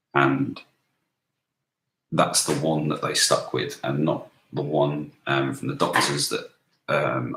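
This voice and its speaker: With a British accent, a man talks at a fairly slow pace. His pauses are long and frequent. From UK. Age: 20s. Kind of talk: casual talk to camera. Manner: hesitant, halting.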